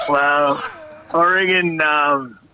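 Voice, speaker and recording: The speaker has an Australian accent. Noticeable background noise runs through the clip. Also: man. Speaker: former football player and coach. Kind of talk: podcast interview. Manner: halting, many fillers.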